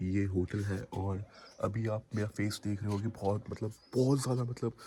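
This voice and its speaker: Using a monotone, flat intonation, a man with a dark, mellow tone speaks at a moderate pace. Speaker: travel vlogger. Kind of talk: travel vlog. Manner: halting, many fillers.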